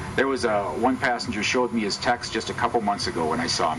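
A man speaks fairly quickly, with noticeable noise behind him. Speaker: guest. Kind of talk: public talk storytelling. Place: open country. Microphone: handheld.

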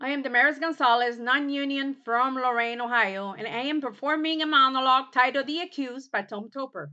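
Against a quiet background, a woman in a raised, projected voice with a bright, sharp tone speaks at a fairly quick pace, with ordinary pitch variation and hardly any pauses. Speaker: actor doing an audition monologue. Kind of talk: dramatic monologue, courtroom closing argument. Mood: intense, indignant. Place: home room. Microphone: webcam.

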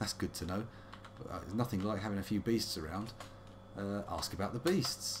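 Speaking with a British accent, a man talks at a fairly slow pace and fairly low pitch, somewhat breathy. Light background noise can be heard. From UK. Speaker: let's play streamer; game streamer. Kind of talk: casual gameplay commentary. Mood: playful, wry.

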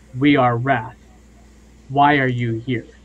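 A put-on character voice with monotone, flat intonation. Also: man, medium pitch for a man. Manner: wrathful, hostile.

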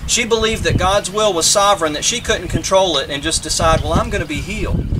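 Over noticeable background noise, a man speaks in a raised, projected voice. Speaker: minister officiating a funeral. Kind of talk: funeral sermon. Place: open country. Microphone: camera far.

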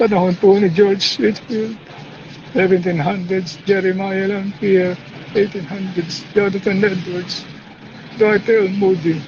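A man talks very slowly in a high voice, with a solemn tone, fairly even intonation and very even loudness. Noticeable background noise sits behind him. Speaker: preacher or believer praying. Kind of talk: fervent intercessory prayer, spoken aloud to God. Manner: earnest, pleading, imploring; solemn and reverent, heartfelt and emotional.

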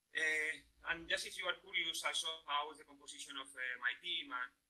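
A man with a Spanish accent, fairly high in pitch, with a bright, sharp tone, fairly even intonation and a moderate pace. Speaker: professor. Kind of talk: lecture. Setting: video call. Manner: hesitant with fillers.

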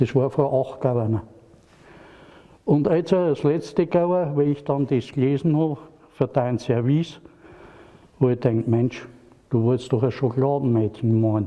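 A man with a strong Franconian accent talks at a fairly slow pace with long, frequent pauses and ordinary pitch variation. His loudness stays very even over a quiet background. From Franconia, Germany. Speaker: porcelain painter. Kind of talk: casual talk at a handover. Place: hall.

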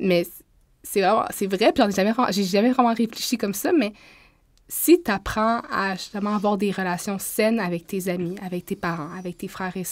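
In a plain, everyday voice, a woman speaks at a moderate pace and medium pitch with ordinary pitch variation, in a very clean recording with a silent background. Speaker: podcast co-host. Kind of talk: casual chat.

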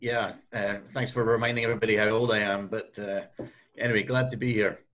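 Speaking fairly quickly with an American accent, a man keeps his medium-pitched voice to fairly even intonation. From US Northeast. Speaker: hotel company executive; panelist. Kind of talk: webinar panel answer. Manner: hesitant, many fillers. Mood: friendly, light. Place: office. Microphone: video call.

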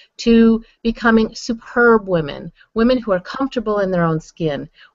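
With music in the background, a woman speaks at a moderate pace and ordinary pitch variation in a dry recording with no echo. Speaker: online show host. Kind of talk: host introduction monologue. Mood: warm and upbeat. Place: home room. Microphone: webcam.

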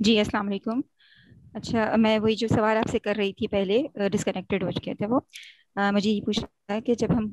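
The woman's fairly high voice moves at a moderate pace with fairly even intonation, and the sound is dry and close with no echo. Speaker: audience member asking a question. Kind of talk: question in a live online session. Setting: video call.

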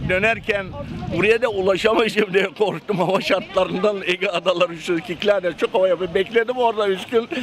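Talking at a moderate pace, a man with a high pitch is heard against noticeable background noise. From Bodrum, Turkey. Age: 70s. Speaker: sponge diver and boat captain. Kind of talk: interview answer.

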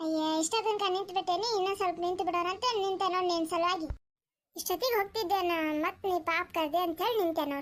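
A woman uses a cartoonish character voice at an extremely high pitch. She keeps a moderate pace and fairly even intonation. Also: very even loudness. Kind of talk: cartoon comedy. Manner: quarrelsome, easily offended.

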